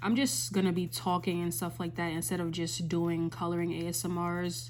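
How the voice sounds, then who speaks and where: At a moderate pace, a woman with a fairly low pitch speaks in a normal speaking voice. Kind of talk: ASMR coloring video with soft motivational talk; casual talk to camera. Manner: soft-spoken, calming, rambling.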